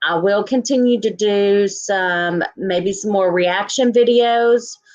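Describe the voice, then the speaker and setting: In a Texan accent, a woman speaks at a fairly slow pace with a medium pitch and ordinary pitch variation. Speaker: YouTuber reacting to true crime coverage. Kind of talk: livestream sign-off chat. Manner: casual with many fillers.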